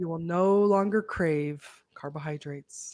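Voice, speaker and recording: Put-on character voice at middle pitch and moderate pace, quiet background behind it. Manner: calm, soothing, hypnotic.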